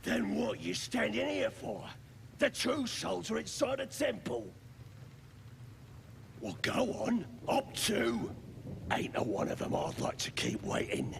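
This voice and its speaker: Over clear background noise, a man uses a gruff, put-on character voice, going at a fairly slow pace with long, frequent pauses. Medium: video game. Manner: gruff, slangy.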